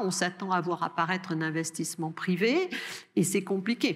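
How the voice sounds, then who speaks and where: Speaking with a Bordeaux accent, a woman keeps a medium pitch, a moderate pace and fairly even intonation. The recording is very clean, with a silent background. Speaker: research director and lecturer on space policy. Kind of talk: answering questions after a lecture. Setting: lecture hall with audience. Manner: hesitant, with many fillers.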